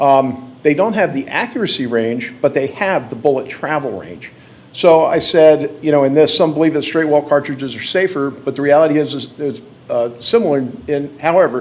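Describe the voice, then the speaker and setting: This is a normal speaking voice with ordinary pitch variation, delivered at a moderate pace. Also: man, fairly high pitch for a man. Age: 60s. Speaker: hunter giving a presentation at a county board meeting. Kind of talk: public presentation. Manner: casual, conversational.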